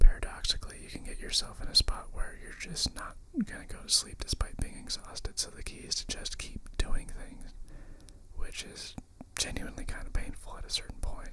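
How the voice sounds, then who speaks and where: Whispering at a fairly quick pace, a man swings widely in loudness over noticeable background noise. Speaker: ASMR creator. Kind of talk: ASMR whispered ramble. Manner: whispered.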